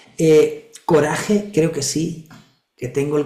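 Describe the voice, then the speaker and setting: A man at a fairly slow pace, ordinary pitch variation, and audible room echo. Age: 60s. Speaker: regression therapist and spiritual teacher. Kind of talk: spiritual talk in an online group session.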